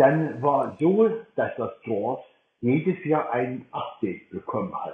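A man speaking at a very slow pace with lively intonation. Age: 60s. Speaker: blind Mac user co-leading a workshop. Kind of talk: online workshop talk.

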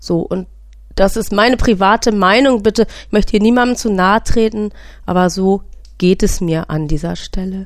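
A normal speaking voice from a woman, medium in pitch, with ordinary pitch variation and a moderate pace. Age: 40s. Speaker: podcast host and patient with a sleep disorder. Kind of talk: personal testimony monologue.

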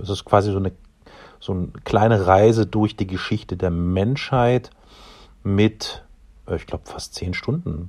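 Against a quiet background, a man speaks fairly slowly in a very deep, low, somewhat breathy voice with ordinary pitch variation. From Dresden, Saxony. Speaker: podcast producer. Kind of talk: casual chat. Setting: recorded in various everyday locations.

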